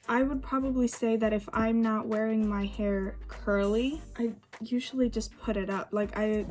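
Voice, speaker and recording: Over noticeable background noise, a woman speaks quietly at a fairly high pitch, with very even loudness and a monotone, flat intonation. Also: moderate pace. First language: Swedish. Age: 20s. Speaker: beauty vlogger. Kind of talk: casual chat.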